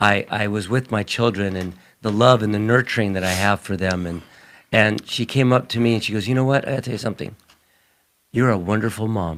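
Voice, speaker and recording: A man's fairly low pitch in a plain, everyday voice, fairly quick pace and fairly even intonation, on a very clean recording with a silent background. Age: 60s. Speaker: religion talk show co-host. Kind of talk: casual chat.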